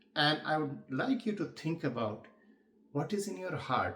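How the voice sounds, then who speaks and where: The man's voice is somewhat breathy, with lively intonation. He talks at a fairly slow pace. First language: not English. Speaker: public speaking coach. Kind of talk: tutorial.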